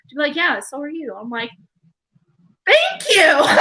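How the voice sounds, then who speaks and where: Raising and projecting her voice, a woman speaks in a bright, sharp tone with ordinary pitch variation. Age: 20s. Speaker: podcast guest. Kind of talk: casual chat.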